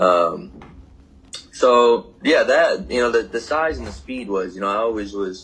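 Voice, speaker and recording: A man with an American accent. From Michigan, US Midwest. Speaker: pro football player. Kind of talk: casual interview. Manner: casual, halting with many fillers.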